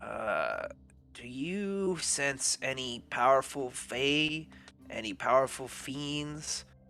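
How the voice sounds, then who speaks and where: A man puts on a character voice with fairly high pitch. He speaks at a very slow pace with ordinary pitch variation. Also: very clean recording, silent background. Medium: actual play.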